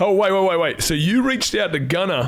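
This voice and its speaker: Over noticeable background noise, a man speaks at a very fast pace with an animated tone and lively intonation. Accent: Australian. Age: 40s. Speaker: personal trainer, podcast host. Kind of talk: casual chat.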